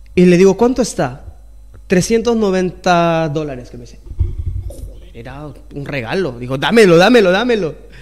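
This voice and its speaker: In a room with audible echo, a man with a high pitch talks at a fairly slow pace, using lively intonation and big swings in loudness. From Peru (Lima, Puente Piedra). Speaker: singer-songwriter, chef and restaurant owner. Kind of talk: casual interview, life story.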